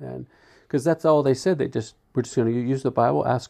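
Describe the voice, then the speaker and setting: With an American accent and an ordinary speaking voice, a man talks at a fairly quick pace with ordinary pitch variation over a quiet background. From US Northeast, South Jersey. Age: 60s. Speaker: church member. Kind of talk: interview.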